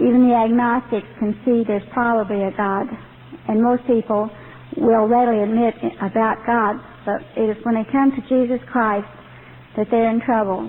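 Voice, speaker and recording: Noticeable background noise sits behind a woman with an American accent and a fairly high pitch. Her intonation is monotone and flat, at a moderate pace. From Texas. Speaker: ex-member ministry director. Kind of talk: testimony.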